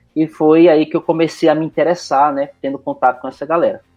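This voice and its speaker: A man speaks with a Recife accent. His pitch varies in an ordinary way. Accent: Pernambuco (Recife) Brazilian Portuguese. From Recife, northeast Brazil. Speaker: IT professional. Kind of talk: casual interview. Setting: remote call recording.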